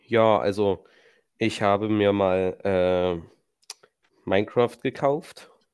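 In a very clean recording with a silent background, a man talks at a very slow pace with a fairly low pitch. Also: ordinary pitch variation. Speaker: railway trainee podcast co-host. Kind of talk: casual chat.

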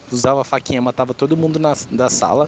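A man speaks fairly quickly at a fairly high pitch. His intonation is fairly even, and there is noticeable background noise. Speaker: gamer. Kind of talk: recorded voice message.

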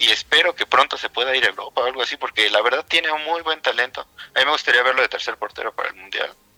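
A man talks at a very fast pace in a bright, sharp tone with ordinary pitch variation. The sound is dry and close, with no echo. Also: medium pitch for a man. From Mexico City. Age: 30s. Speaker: video game editor. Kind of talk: casual interview. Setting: radio studio.

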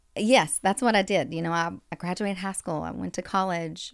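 Ordinary pitch variation marks this moderate-paced speech in a Kentucky accent. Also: woman, big swings in loudness. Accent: Southern US (Kentucky). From US South, western Kentucky. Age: 30s. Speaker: nurse turned healthy living coach. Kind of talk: casual interview. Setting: studio.

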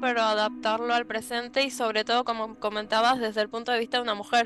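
With a Rioplatense accent, a woman speaks at a high pitch and a fairly quick pace in a monotone, flat intonation. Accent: Argentine Spanish (rioplatense). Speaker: book content creator. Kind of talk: casual chat.

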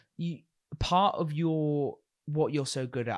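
An unremarkable speaking voice from a man, fairly high in pitch and fairly slow, in a very clean recording with a silent background. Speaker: podcast host. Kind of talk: casual chat. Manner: joking, casual.

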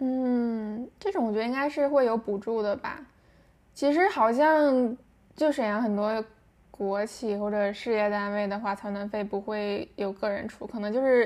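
A woman speaks fairly slowly in a normal speaking voice. Her pitch is fairly high, with ordinary pitch variation. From Shenyang, northeast China. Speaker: guest. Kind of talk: casual chat. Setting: remote recording.

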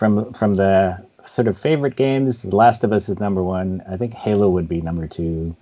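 A man with a plain, everyday voice speaks at a moderate pace, his fairly low pitch showing ordinary variation. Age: 50s. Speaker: games journalist. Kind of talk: interview. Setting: video call.

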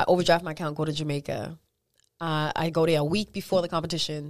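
Recorded very cleanly against a silent background, a woman speaks at a fairly quick pace. Her pitch is fairly low. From US Northeast city, born in Virginia. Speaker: dancer and fitness instructor. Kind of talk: casual interview.

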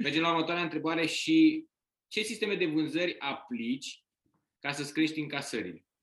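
Here a man talks at a fairly quick pace in an ordinary speaking voice. His pitch is fairly high, with ordinary pitch variation. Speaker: podcast co-host, author. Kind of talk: casual interview.

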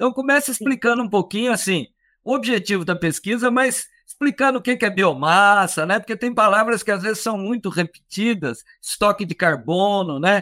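A man's raised, projected voice, high-pitched with a bright, sharp tone, at a moderate pace with hardly any pauses and ordinary pitch variation, in a very clean recording with a silent background and a dry, close sound with no echo. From Minas Gerais, Brazil. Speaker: radio host. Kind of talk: radio interview. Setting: radio studio.

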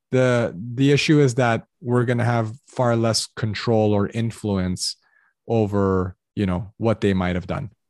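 Recorded dry and close with no echo, a man speaks at a medium pitch with ordinary pitch variation and a Californian accent. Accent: General American (California). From Los Angeles, US. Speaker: academic admissions consultant. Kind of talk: casual interview.

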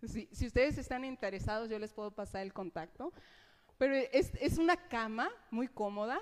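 Here is a woman with an ordinary speaking voice. Her pitch is fairly high and her intonation lively. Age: 30s. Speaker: preacher. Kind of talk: sermon.

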